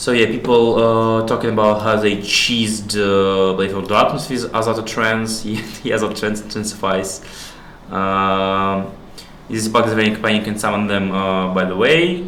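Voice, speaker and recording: A man with a Russian accent and fairly low pitch speaks with fairly even intonation, with audible room echo and noticeable background noise. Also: moderate pace. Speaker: stream host. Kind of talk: casual chat. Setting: live stream, away from home.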